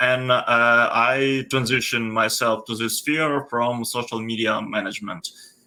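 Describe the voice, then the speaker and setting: A man with a Ukrainian accent speaks in a bright, sharp tone with fairly even intonation. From Ukraine. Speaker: data analytics mentor. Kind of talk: mentoring video call. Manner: halting.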